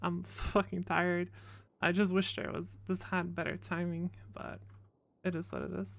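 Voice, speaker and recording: Mumbling at a moderate pace with long, frequent pauses, a woman is heard on a very clean recording with a silent background. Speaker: streamer playing a roleplay character. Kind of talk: casual chat.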